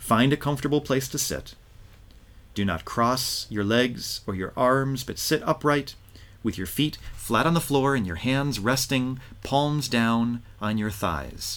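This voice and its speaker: Pitched at a medium level with ordinary variation, a man talks in an ordinary speaking voice. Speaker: rabbi and podcast host. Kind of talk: guided meditation, reading a teaching aloud; podcast interview.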